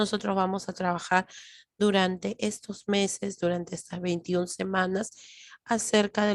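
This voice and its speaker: A woman speaks loudly and fairly slowly at a medium pitch, monotone and flat, in a dry, close sound with no echo. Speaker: lecturer. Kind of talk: lecture. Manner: trying to speak louder.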